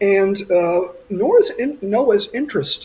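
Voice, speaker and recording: Over noticeable background noise, a man with an American accent speaks with ordinary pitch variation. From United States. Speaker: coral scientist. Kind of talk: talk. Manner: halting, many fillers.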